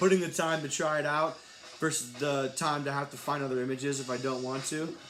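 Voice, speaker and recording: Music plays in the background, and audible room echo is present. A man speaks at a fairly high pitch with fairly even intonation. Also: fairly quick pace. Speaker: artist livestreaming while making a collage. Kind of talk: casual livestream chat while working. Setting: Instagram live stream. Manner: relaxed, conversational.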